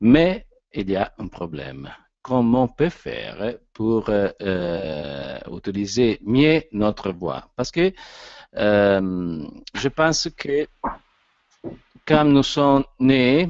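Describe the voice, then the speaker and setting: The speaker has an Italian accent and talks at a very slow pace with long, frequent pauses. Their pitch makes very wide swings. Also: man, medium pitch for a man. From Italy. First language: Italian (speaking French). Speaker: actor and voice coach speaker. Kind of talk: lecture. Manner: halting.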